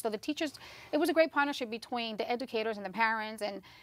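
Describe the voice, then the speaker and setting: A woman's fairly high voice comes through on a very clean recording with a silent background. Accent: Spanish. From Southwest Yonkers, New York (came at age ten from Spanish-speaking country). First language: Spanish. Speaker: county legislator. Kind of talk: interview.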